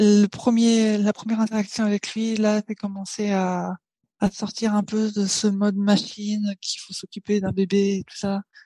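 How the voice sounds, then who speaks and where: A woman of medium pitch speaks at a fairly slow pace, somewhat breathy and monotone, with a dry, close sound and no echo. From Paris, France. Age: 20s. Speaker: software engineer and new mother. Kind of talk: casual interview chat. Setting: remote recording.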